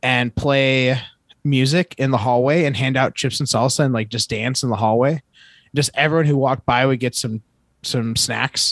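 With an American accent and a normal speaking voice, a man talks at a moderate pace and medium pitch, his intonation fairly even, in a dry, close sound with no echo. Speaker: podcast co-host. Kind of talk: casual chat.

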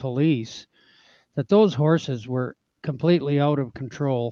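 A man with a plain, everyday voice speaks at a medium pitch and a fairly slow pace. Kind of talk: casual interview chat.

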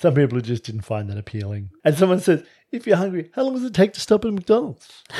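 A man talks at a very fast pace in a high voice with a dark, mellow tone. His pitch swings very widely, his loudness swings a lot, and the recording is very clean with a silent background. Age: 50s. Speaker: relationship podcast co-host. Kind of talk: casual chat. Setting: at home.

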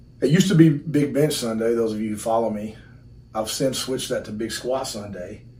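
A man with a Texan accent talks at a fairly quick pace, with audible room echo around his voice. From Texas, Burkburnett near Wichita Falls. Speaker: strength coach. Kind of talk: casual chat. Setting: in person, in his gym.

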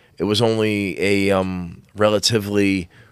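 This is a man speaking. His pitch is fairly low. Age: 40s. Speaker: Freemason guest. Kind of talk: casual chat. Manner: animated, casual.

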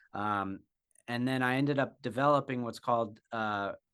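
Against a quiet background, a man speaks at a moderate pace and medium pitch. His tone is bright and sharp, and his intonation stays fairly even. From Wyoming. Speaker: ultrarunner and video creator. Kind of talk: interview. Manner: halting, many fillers.

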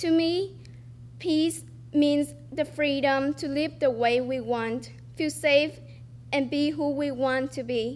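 With a Vietnamese accent, a woman speaks at a very slow pace, leaving long, frequent pauses. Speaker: student storyteller. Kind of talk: reading aloud a personal essay. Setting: stage with audience.

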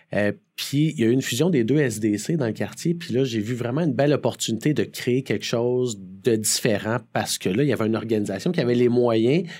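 In a very clean recording with a silent background, a man with a Quebec accent speaks at a fairly quick pace and medium pitch, with ordinary pitch variation, a dark, mellow tone and hardly any pauses. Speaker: community development director and speaker. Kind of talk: interview.

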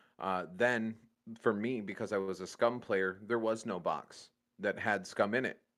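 Recorded with a very clean, silent background, a man with a Midwestern American accent speaks at a fairly slow pace with a fairly low pitch and fairly even intonation. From Michigan. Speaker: gaming podcast co-host. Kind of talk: casual chat.

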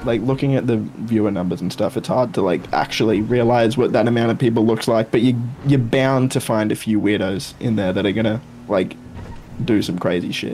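This man has an ordinary speaking voice, medium in pitch with ordinary pitch variation, delivered at a fairly quick pace. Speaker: gaming YouTuber. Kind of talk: casual chat, podcast.

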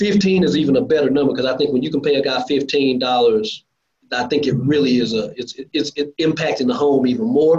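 This man talks fairly quickly with an American accent. His voice is fairly high, with ordinary pitch variation. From Lancaster, Texas, south of Dallas. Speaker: construction contractor, industry association board chair. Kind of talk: casual interview. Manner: animated.

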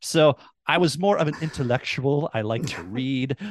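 Speaking at a moderate pace, a man with an Upper Midwest accent has a fairly high pitch. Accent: Upper Midwest American. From US Midwest (rural Minnesota). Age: 40s. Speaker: former dean of students, podcaster. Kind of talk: interview conversation. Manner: articulate, few fillers.

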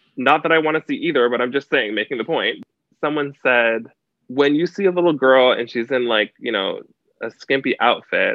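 A man with an American accent speaks in an unremarkable speaking voice, with lively intonation at a moderate pace. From Canada, near the US border. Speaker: dancer and entertainer. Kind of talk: casual interview.

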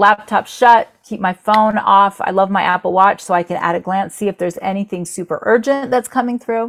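A woman at medium pitch speaks fairly quickly in a normal speaking voice with ordinary pitch variation, the sound dry and close with no echo. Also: hardly any pauses. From Florida, US. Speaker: entrepreneur, company founder. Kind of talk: interview.

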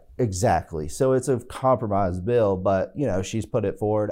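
Against a quiet background, a man with an American accent speaks with lively intonation in a fairly low, dark, mellow voice. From Southside Virginia. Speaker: state legislator and lawyer. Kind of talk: casual interview.

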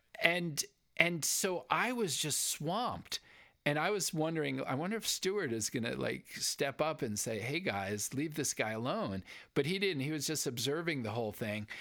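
A man's fairly high voice with vocal fry and a bright, sharp tone, very wide pitch swings, moderate pace, in a very clean recording with a silent background. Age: 60s. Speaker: podcast co-host. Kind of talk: casual chat.

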